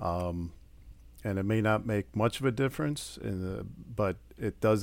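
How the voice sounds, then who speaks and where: Someone speaks with a Wisconsin accent on a very clean recording with a silent background. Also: man. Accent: Upper Midwest (Wisconsin). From Wisconsin, Port Washington. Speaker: estate planning attorney. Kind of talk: interview.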